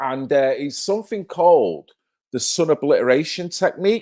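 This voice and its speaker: Over a very clean, silent background with a dry, close sound and no echo, a man with a Mancunian accent speaks in an animated tone at a moderate pace. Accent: Manchester (Mancunian). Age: 50s. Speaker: live-stream host. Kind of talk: casual live-stream chat.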